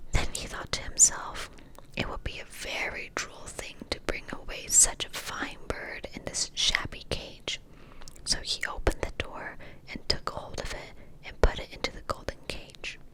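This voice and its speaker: A woman whispering at a fairly slow pace, with big swings in loudness and noticeable background noise. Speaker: ASMR creator. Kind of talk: fairy tale reading, ASMR. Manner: whispered.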